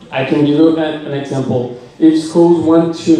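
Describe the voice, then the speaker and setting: A man with a Portuguese accent and a fairly high pitch, plus noticeable background noise and audible room echo. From Brazil. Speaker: education researcher. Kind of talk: lightning talk presentation. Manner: halting.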